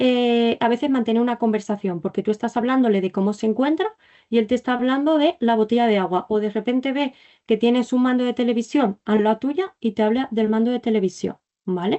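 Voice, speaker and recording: A woman's high-pitched voice at a fairly quick pace, with very even loudness and ordinary pitch variation. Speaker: clinical psychology resident teaching a masterclass. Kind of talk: online lecture. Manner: fast.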